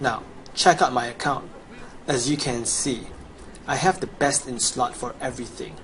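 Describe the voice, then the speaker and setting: Amid noticeable background noise, a man speaks at a moderate pace and medium pitch, with ordinary pitch variation and long, frequent pauses. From Chinese background. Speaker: gamer, video guide maker. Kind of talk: gameplay sales pitch. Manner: animated.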